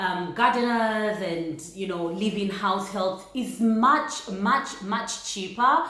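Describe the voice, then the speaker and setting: Over noticeable background noise, a woman with a fairly high pitch speaks at a very slow pace with lively intonation. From Uganda. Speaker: vlogger. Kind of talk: casual talk to camera.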